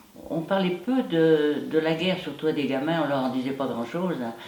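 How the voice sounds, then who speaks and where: Lively in intonation yet very deep and low in pitch, a woman speaks at a fairly slow pace amid noticeable background noise and audible room echo. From France, Loire (near Charlieu). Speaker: war witness. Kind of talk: testimony interview.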